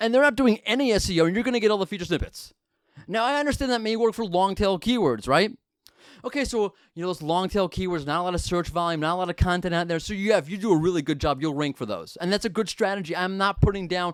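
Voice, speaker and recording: In a very clean recording with a silent background, a man with an American accent talks at a very fast pace in a high, animated voice with lively intonation. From United States. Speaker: podcast host. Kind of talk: podcast talk.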